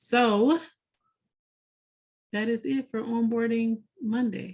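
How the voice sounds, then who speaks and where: A woman talks with fairly even intonation. Her voice is somewhat breathy. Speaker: software trainer. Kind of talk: webinar wrap-up. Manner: monotone.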